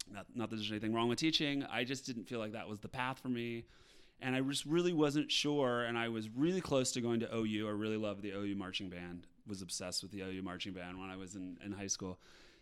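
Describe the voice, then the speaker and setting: A man with an American accent and fairly low pitch at a very fast pace. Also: ordinary pitch variation. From Appalachian Ohio. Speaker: touring musical theater actor. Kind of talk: casual interview chat.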